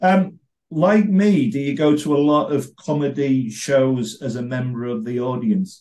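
Over a quiet background, a man talks fairly slowly with lively intonation and a dark, mellow tone. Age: 50s. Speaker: podcast host and comedy blogger; podcast host, comedy blogger. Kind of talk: interview. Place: home room. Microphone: video call.

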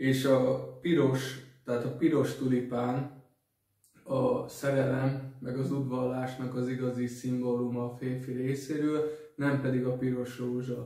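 A man speaks at a very slow pace in a monotone, flat intonation. Audible room echo sits over a quiet background. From Hungary. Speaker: dating advice vlogger; vlogger giving dating tips. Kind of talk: solo vlog talk. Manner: halting, many fillers and repetitions. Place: home room. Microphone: camera far.

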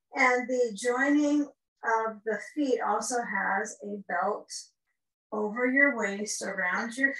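A woman talks at a very slow pace with fairly even intonation, her voice carrying audible room echo over a quiet background. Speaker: yoga teacher. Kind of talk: tutorial. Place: home room. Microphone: camera far.

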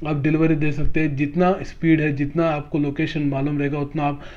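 Speaking at a moderate pace, a man uses a fairly high pitch with little pitch movement.

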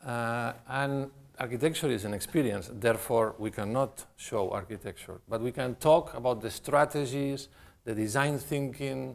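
This man talks at a moderate pace with ordinary pitch variation. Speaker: guest architect lecturer. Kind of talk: lecture. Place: hall.

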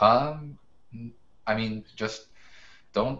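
A man speaks at a medium pitch with an American accent. His pitch moves up and down in an ordinary way. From US Northeast, Brooklyn, New York; New York. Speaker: professional photographer and educator; podcast guest. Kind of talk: casual interview. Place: home room. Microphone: video call.

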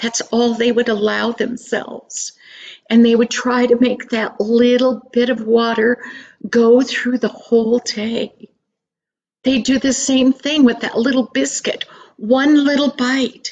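A woman talks at a fairly slow pace in a high pitch with monotone, flat intonation. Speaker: storyteller. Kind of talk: storytelling. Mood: earnest, expressive. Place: home room. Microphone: webcam.

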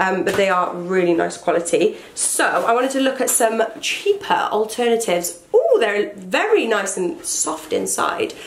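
Noticeable background noise runs through the clip. A woman does the talking. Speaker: fashion YouTuber. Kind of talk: casual vlog talk. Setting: home, indoors with rain outside. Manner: animated.

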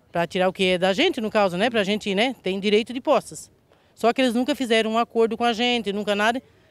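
A fairly high-pitched woman at a very fast pace, with ordinary pitch variation and a dry sound with no echo. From southern Santa Catarina, Brazil. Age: 50s. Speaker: local resident. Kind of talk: interview testimony. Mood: indignant, worried. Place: open country. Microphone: handheld.

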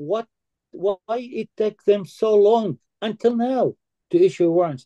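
A man with a high pitch and a dark, mellow tone speaks at a fairly slow pace, the sound dry with no echo against a quiet background. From Palestine. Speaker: activist; guest. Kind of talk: panel discussion. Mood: earnest, indignant. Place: home room. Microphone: video call.

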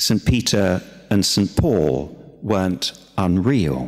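Lively intonation and vocal fry mark this voice against a quiet background. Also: man. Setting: church. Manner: gentle, unhurried and conversational, with frequent hesitations and repeated words; warm, plainspoken pastoral earnestness. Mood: warm, gently humorous. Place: church. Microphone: podium.

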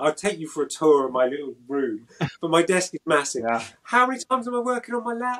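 Talking at a very fast pace, a man with a British accent has a high pitch. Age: 50s. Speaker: action figure artist; interviewee. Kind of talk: casual chat. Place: workshop. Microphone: video call.

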